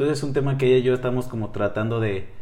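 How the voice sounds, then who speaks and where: Audible room echo surrounds this man's voice. He speaks at a medium pitch with fairly even intonation. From northern Mexico, Chihuahua. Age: 20s. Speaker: psychology student and podcaster. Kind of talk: casual interview.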